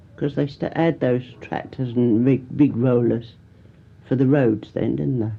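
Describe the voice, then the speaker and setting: This woman's voice has a very deep, low pitch and vocal fry. She talks at a moderate pace. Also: ordinary pitch variation. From Canterbury, Kent, England. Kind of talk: oral history interview answer.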